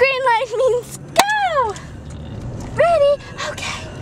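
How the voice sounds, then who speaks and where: A put-on character voice at an extremely high pitch, delivered at a very slow pace over noticeable background noise. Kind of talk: casual vlog chat. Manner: gobbling.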